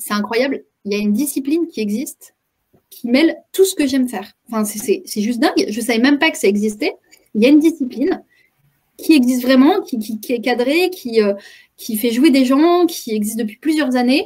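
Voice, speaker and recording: Her pitch sits high for a woman, and this woman's intonation is lively. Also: big swings in loudness. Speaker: improv trainer and communication coach. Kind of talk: web conference talk. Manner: fast; hesitant, many repetitions.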